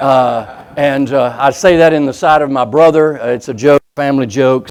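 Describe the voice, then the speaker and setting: This man has an ordinary speaking voice, fairly high in pitch with ordinary pitch variation. He speaks at a fairly slow pace. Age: 60s. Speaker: preacher. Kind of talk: sermon.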